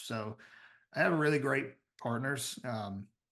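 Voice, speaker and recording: A man with a Southern US accent speaks with lively intonation against a quiet background. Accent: Southern US drawl. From US South, Tennessee. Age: 30s. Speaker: business founder and CEO. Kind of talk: podcast interview.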